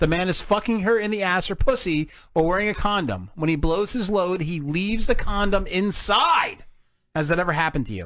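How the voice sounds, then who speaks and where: Against a quiet background, a high-voiced man with an American accent speaks at a fairly quick pace with ordinary pitch variation. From New Jersey. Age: 40s. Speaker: podcast host. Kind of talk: casual chat.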